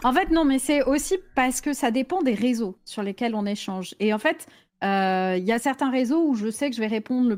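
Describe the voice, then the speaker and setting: An unremarkable speaking voice from a woman, fairly high in pitch with ordinary variation, at a moderate pace in a very clean recording with a silent background. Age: 40s. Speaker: Twitch streamer. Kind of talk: casual chat.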